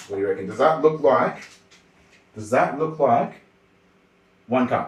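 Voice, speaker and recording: With an Australian accent, a man talks at a moderate pace, his pitch swinging very widely. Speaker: streamer. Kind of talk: casual livestream cooking chat. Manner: quiet when focused.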